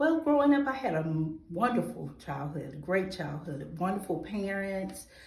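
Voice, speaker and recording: A woman with a Georgia accent talks at a moderate pace with hardly any pauses, her fairly low pitch making very wide swings. Noticeable background noise can be heard. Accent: Southern American (Georgia). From US South, Atlanta, Georgia. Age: 40s. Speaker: nonprofit founder, award nominee. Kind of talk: testimony interview.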